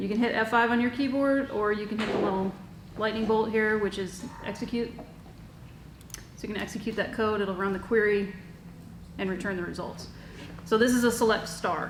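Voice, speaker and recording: A woman talks at a fairly high pitch and a fairly quick pace, with fairly even intonation and long, frequent pauses. Noticeable background noise and audible room echo fill the recording. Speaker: workshop instructor. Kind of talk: tutorial. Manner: fast.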